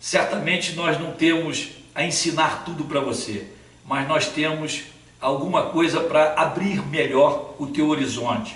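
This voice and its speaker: Audible room echo and noticeable background noise surround a man's fairly high-pitched voice. His pace is fairly slow and his intonation fairly even. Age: 60s. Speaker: Sunday school teacher. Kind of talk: channel introduction talk.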